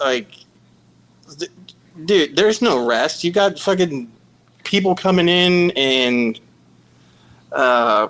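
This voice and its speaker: A man with a high pitch speaks at a very slow pace, with long, frequent pauses. His intonation is lively and his loudness very even. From Kansas City, Missouri. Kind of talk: casual phone conversation.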